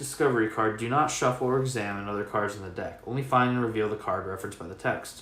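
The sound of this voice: The clip features an unforced reading voice. Nothing else is described.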